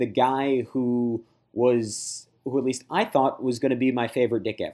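A man with an ordinary speaking voice, medium pitch, fairly even intonation and a fairly slow pace. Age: 30s. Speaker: sports podcaster covering a basketball team. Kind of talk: casual chat.

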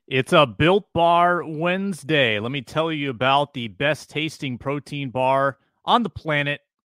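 A man talks at a fairly slow pace in an ordinary speaking voice, fairly high in pitch. He shows ordinary pitch variation and hardly any pauses. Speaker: sports podcast co-host. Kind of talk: casual sports talk.

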